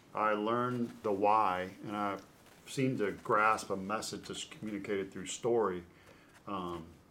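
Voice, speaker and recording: A bright, sharp tone carries fairly even intonation at a fairly slow pace, with audible room echo. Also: man. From Louisville, Kentucky. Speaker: former baseball pitcher, sports broadcaster. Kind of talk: interview storytelling.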